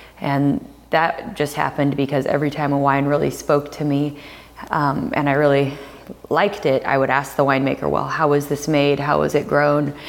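Over noticeable background noise, a woman with a General American accent speaks at a moderate pace in a very deep, low voice. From US Pacific Northwest. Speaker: winemaker. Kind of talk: interview. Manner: hesitant with fillers.

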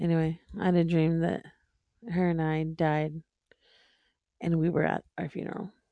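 A woman's fairly low, dark and mellow voice, flat and monotone, with long, frequent pauses. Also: moderate pace. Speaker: podcast co-host. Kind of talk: casual chat.

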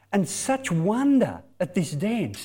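Through audible room echo comes a voice with an Australian accent and a dark, mellow tone. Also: man. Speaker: mission speaker, former youth pastor. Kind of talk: sermon.

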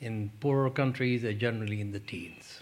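A man's somewhat breathy voice moves along at a fairly slow pace. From Pakistan. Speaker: development economist, think tank president. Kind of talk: panel Q&A answers; lecture. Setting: lecture hall with audience. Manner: conversational.

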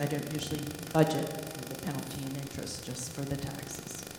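The talking goes at a moderate pace, with noticeable background noise present. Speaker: school district finance officer. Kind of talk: budget report. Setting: board meeting.

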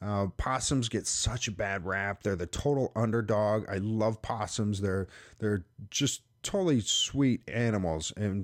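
Heard on a very clean recording with a silent background, a man has an unremarkable speaking voice at medium pitch with ordinary pitch variation. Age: 40s. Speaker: wildlife trapper and podcast host. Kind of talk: podcast monologue. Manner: casual with frequent fillers.

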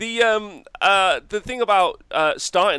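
Loud and with a bright, sharp tone, a man is heard in a dry, close sound with no echo on a very clean recording with a silent background. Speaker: wargaming podcast host. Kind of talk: casual chat. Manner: hesitant with many fillers.

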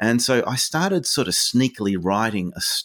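This man speaks with an Australian accent at a moderate pace. The sound is dry and close, with no echo. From Tasmania, Australia. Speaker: children's author. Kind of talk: interview.

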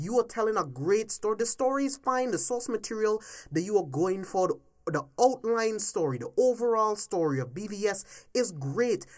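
Here a man speaks in a high pitch with lively intonation at a moderate pace. The recording is very clean, with a silent background. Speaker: podcast host and movie commentator. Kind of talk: angry rant about movie plot holes, casual and profane. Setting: home-recorded solo podcast. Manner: heated, emphatic, exasperated, ranting with cursing; repetitive, pressing, mimicking studio executives.

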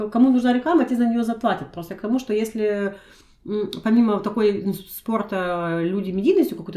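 A woman speaks at a fairly quick pace in an ordinary speaking voice. Her pitch sits in the medium range with ordinary pitch variation. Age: 30s. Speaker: podcast co-host. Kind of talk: casual chat.

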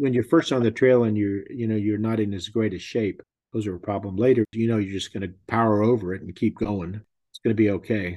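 Fairly even intonation marks this man's speech in a Texan accent. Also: fairly low pitch for a man, fairly quick pace. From Texas. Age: 70s. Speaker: pilgrim. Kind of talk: casual interview.

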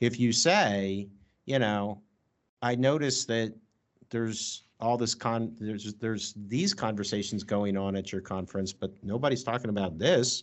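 Moderately paced speech from a man in a normal speaking voice, medium in pitch, with ordinary pitch variation. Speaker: podcast host. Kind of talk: interview conversation. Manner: formal, academic.

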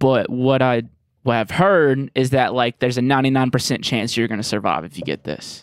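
With a Southern US accent, a man of medium pitch speaks at a fairly quick pace with ordinary pitch variation. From Jackson, Mississippi. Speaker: music producer and comedian. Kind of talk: casual chat.

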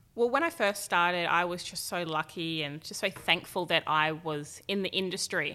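With hardly any pauses, a woman at a fairly low pitch speaks at a moderate pace in a bright, sharp tone with ordinary pitch variation, on a very clean recording with a silent background. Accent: Australian. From Australia, Gold Coast / Tweed Heads. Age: 20s. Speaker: fashion model. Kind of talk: casual chat. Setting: studio.

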